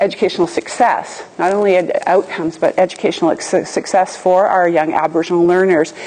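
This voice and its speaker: The pace is fairly quick. It is a normal speaking voice. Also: woman. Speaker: professor presenting. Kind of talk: lecture. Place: hall.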